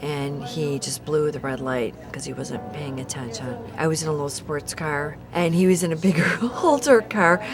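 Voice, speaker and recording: The speaker has an American accent and ordinary pitch variation. Music plays in the background, and room echo is audible. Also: woman. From Chicago area, US Midwest. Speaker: brain injury survivor. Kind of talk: testimony.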